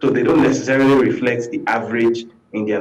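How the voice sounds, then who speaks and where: A man with a Nigerian accent at a moderate pace. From Nigeria, Lagos. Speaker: journalist and political commentator; guest commentator. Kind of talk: TV talk show interview. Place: home room. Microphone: video call.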